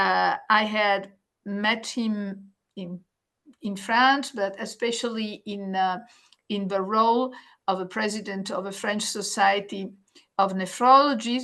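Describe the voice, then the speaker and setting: In an Italian accent, a woman speaks at a very slow pace with a fairly high pitch and fairly even intonation. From Italy. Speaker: nephrologist, webinar moderator. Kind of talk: webinar introduction. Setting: online webinar.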